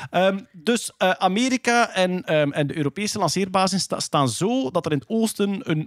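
Over a quiet background, a man speaks at a moderate pace with very wide pitch swings, the sound dry with no echo. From Flanders, Belgium. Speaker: podcast host presenting science news. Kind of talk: casual chat.

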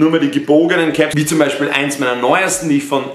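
A man talks at a very fast pace with ordinary pitch variation, with audible room echo and light background noise. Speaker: fashion vlogger. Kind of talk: casual vlog chat. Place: home room. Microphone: camera far.

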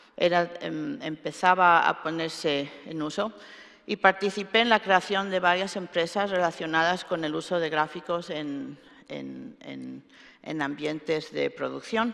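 A woman talks in a normal speaking voice, fairly low in pitch with ordinary pitch variation, at a fairly slow pace. Her loudness swings widely against a quiet background. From Spain, Alicante; Spain. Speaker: computer scientist; keynote speaker. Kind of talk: keynote lecture. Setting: stage with audience. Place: hall.

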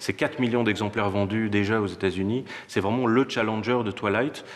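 An ordinary speaking voice from a man, fairly low in pitch, with fairly even intonation and light background noise. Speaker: bookseller or publisher presenting books. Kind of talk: interview answer. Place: shop.

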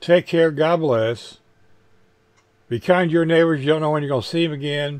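This man's voice sits at a fairly high pitch and has a slightly mellow tone. He moves at a moderate pace with ordinary pitch variation.

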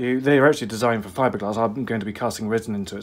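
The speaker is a man. His pitch rises and falls in an ordinary way. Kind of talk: tutorial. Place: workshop. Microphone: phone near.

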